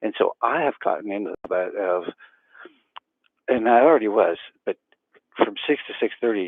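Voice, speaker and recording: Quiet and fairly low-pitched, a man speaks at a moderate pace with ordinary pitch variation. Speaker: self-healing practitioner and educator. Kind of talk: casual vlog talk to camera. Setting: early morning at home, camera on the floor. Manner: talking quietly; hesitant, many fillers.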